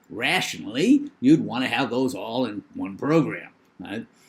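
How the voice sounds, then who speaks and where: Speaking with a New England accent at a moderate pace, a man has a fairly high pitch, very wide pitch swings and vocal fry, on a very clean recording with a silent background. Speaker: professor. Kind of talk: lecture.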